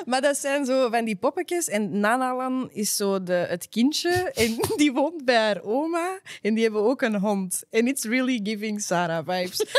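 A woman's voice with very wide pitch swings, dry sound and no echo. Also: fairly slow pace. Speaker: podcast co-host. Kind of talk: casual podcast chat. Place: studio. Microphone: studio mic.

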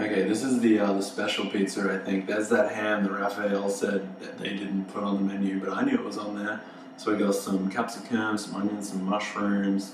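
Over noticeable background noise and audible room echo, a man with a fairly low pitch speaks at a fairly quick pace in a monotone, flat intonation. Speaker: food vlogger. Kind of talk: casual vlog chat. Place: home room.

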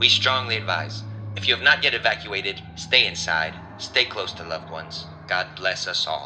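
A man with a fairly low pitch and ordinary pitch variation speaks in a serious tone at a moderate pace, his loudness swinging widely amid noticeable background noise. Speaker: voice actor. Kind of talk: emergency news report. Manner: grave, serious.

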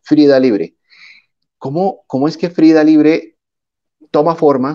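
A man's voice with lively intonation, at a fairly slow pace, over a quiet background. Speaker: interviewer. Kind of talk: interview. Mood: warm, upbeat. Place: home room. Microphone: earbuds.

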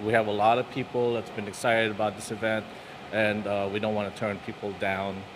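A man with an American accent speaks at a moderate pace in a fairly low voice. His intonation is monotone and flat, with noticeable background noise. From New York City area. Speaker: business owner. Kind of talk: news interview. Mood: concerned but determined. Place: cafe. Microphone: handheld.

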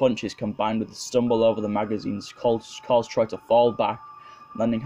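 The reading voice here is natural.

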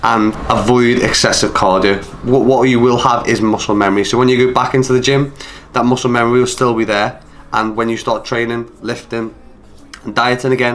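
A man talks at a fairly quick pace in a flat monotone. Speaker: fitness coach. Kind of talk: educational talk to camera. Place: home room.

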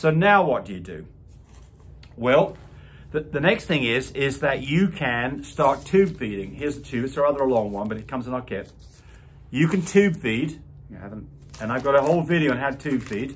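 Somewhat breathy, a man talks at a moderate pace with lively intonation, long and frequent pauses, and big swings in loudness. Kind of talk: tutorial. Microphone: phone near.

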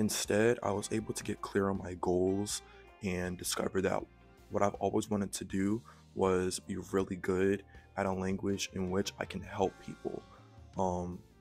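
A man's fairly low, monotone voice with flat intonation and an American accent, faint music in the background. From Mableton, Georgia, USA. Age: 20s. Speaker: vlogger. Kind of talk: casual talk to camera. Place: home room. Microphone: handheld.

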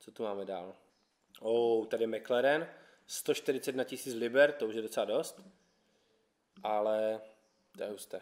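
Over a quiet background, a man talks at a fairly slow pace with ordinary pitch variation, long, frequent pauses and big swings in loudness. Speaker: YouTube car channel host. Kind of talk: casual vlog presentation. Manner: casual, upbeat. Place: garage.

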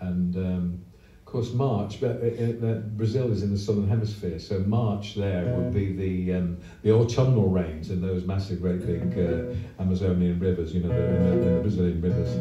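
A man is speaking with audible room echo. Clear music plays in the background. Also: ordinary pitch variation, moderate pace. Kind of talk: onstage song introduction. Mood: relaxed, humorous. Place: stage. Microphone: pa.

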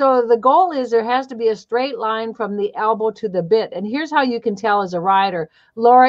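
The pace of speaking is moderate. Behind it, all is quiet. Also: woman. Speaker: riding instructor. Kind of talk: instructional commentary. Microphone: video call.

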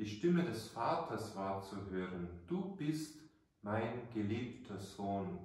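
Speaking at a very slow pace, a man with a fairly low, warm, somewhat breathy voice makes very wide pitch swings amid strong room echo. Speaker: priest. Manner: formal, measured, warm storytelling, earnest and didactic. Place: church. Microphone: camera far.

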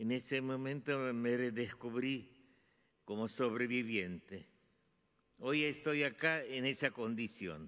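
Speaking very slowly, a man with a bright, sharp tone uses ordinary pitch variation over a quiet background. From Hungary and Romania (Transylvania). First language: Hungarian (speaking Spanish). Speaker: Holocaust survivor and artist. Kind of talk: testimony. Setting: stage with audience. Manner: halting. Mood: solemn, commemorative. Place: hall. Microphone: podium.

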